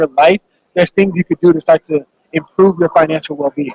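A man with an American accent speaks in a high pitch with monotone, flat intonation. The sound is dry and close, with no echo. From Phoenix, Arizona. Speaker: former football player and author. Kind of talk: interview. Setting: radio row at event.

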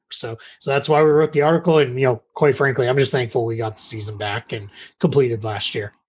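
Speaking at a very fast pace, a man with an American accent has a somewhat breathy, medium-pitched voice with ordinary pitch variation. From Massachusetts. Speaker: basketball writer. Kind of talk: podcast interview. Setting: remote call.

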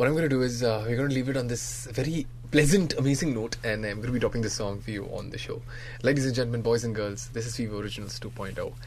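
Sounding animated and upbeat, a man with a medium pitch speaks with ordinary pitch variation. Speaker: radio host. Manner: animated, upbeat and theatrical, switching between English and Hindi; energetic, colloquial, punchy, with exaggerated emphasis like "ever ever ever ever".

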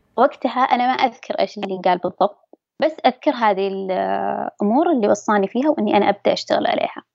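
Lively in intonation, a woman with a normal speaking voice and medium pitch talks at a fairly quick pace with hardly any pauses. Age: 20s. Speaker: interviewee sharing mental health experience. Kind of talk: personal testimony.

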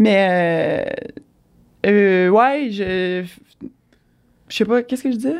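In a Quebec accent, a woman speaks at medium pitch and a very slow pace, with ordinary pitch variation and long, frequent pauses. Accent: Québécois French. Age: 30s. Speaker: triathlete, former elite swimmer. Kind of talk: casual interview.

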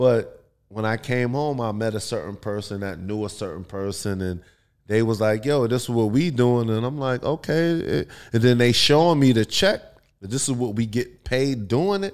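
A man with a New York accent, medium pitch and lively intonation at a moderate pace, on a very clean recording with a silent background. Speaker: adult film performer. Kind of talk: casual chat.

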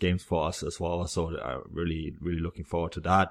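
A man with a German accent, a very deep, low pitch and monotone, flat intonation, at a moderate pace against a quiet background. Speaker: football podcast host. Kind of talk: casual chat.

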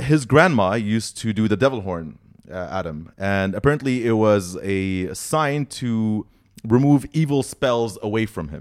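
A man's ordinary speaking voice, fairly slow and with lively intonation, on a very clean recording with a silent background. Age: 30s. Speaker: podcaster and metal fan. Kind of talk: casual interview storytelling.

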